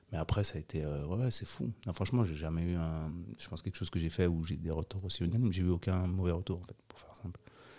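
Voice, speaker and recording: A man talks at a very fast pace with a very deep, low pitch. His tone is dark and mellow, with ordinary pitch variation. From Switzerland, Geneva. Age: 40s. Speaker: documentary director and producer. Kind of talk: casual interview.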